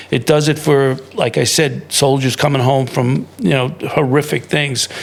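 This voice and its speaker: A man's fairly high voice with fairly even intonation against noticeable background noise. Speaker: podcast host. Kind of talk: interview conversation. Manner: fast.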